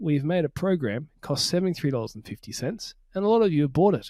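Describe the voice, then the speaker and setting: Lively intonation marks this man's Australian accent, delivered at a moderate pace. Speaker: podcast host. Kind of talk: casual chat. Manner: mumbling.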